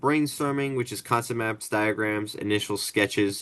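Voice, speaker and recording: A man mumbling against a quiet background. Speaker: student. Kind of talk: group project meeting. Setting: video call. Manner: hesitant, many fillers; mumbling while rereading.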